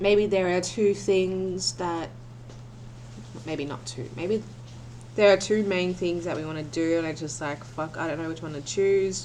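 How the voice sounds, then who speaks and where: Soft-spoken, a woman talks with lively intonation at a fairly low pitch. Her voice carries an audible room echo. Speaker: tarot reader. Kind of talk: tarot reading. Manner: halting.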